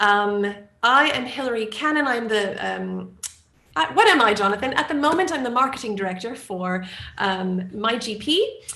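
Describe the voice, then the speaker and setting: Room echo is audible as a woman with an American accent speaks at a moderate pace. Her tone is bright and sharp, her pitch fairly high, and her intonation lively. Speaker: marketing director. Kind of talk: webinar introduction.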